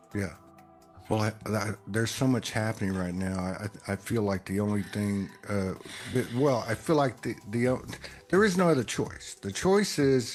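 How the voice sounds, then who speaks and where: Here a man speaks with a Texas accent at a medium pitch. His intonation is lively. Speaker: spiritual podcaster. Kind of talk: casual chat. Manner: halting, many fillers and repeats.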